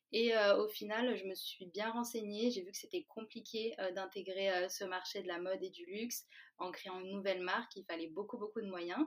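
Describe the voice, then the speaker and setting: A woman with a normal speaking voice of medium pitch, fairly even intonation and a moderate pace. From France, Valence. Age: 20s. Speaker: food startup co-founder. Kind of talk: interview.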